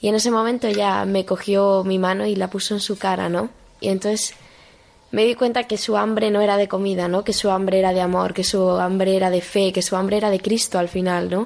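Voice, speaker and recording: A woman's medium-pitched voice at a fairly quick pace, monotone and flat, with very even loudness. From Spain, Madrid. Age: 18. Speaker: young missionary volunteer. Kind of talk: interview testimony. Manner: halting, with frequent repetitions and fillers.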